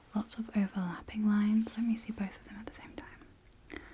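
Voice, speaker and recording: Soft-spoken and somewhat breathy, a woman talks with a British accent. Her tone is dark and mellow. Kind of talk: ASMR roleplay.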